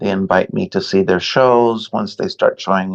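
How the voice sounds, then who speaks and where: Recorded with a dry, close sound and no echo, the man's medium-pitched voice makes very wide pitch swings. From US West Coast (Los Angeles). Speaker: painter and art professor. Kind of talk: interview conversation. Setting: podcast interview. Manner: halting, with repetitions.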